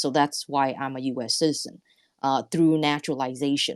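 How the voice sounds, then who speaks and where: With an American accent, a woman speaks at a very deep, low pitch in a dry, close sound with no echo. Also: very clean recording, silent background. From Vietnam, raised in the US. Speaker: entrepreneur. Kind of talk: interview. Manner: halting, many fillers.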